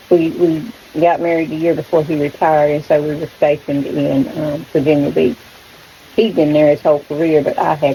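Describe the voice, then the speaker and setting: A woman with a North Carolina accent, very deep and low in pitch, at a fairly quick pace amid noticeable background noise. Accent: rural US Southern (North Carolina). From North Carolina, rural Stokes County. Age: 60s. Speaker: backyard chicken vlogger. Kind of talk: casual vlog chat. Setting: front porch.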